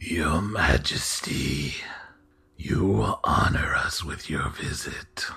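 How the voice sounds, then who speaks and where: In a put-on character voice, a man talks at a very slow pace, raspy and very deep in pitch. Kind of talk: formal, courtly.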